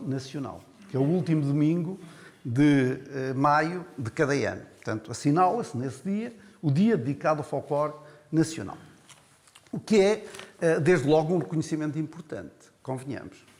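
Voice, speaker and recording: A man's fairly high voice at a moderate pace, ordinary pitch variation, and long, frequent pauses. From Portugal, Coimbra district. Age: 60s. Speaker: folklore federation representative. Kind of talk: panel debate. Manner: hesitant, many fillers.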